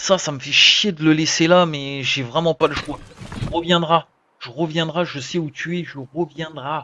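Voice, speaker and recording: A man speaks at a fairly high pitch with ordinary pitch variation. His loudness swings widely. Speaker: gaming streamer. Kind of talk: live gameplay commentary. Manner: animated; whispering at times.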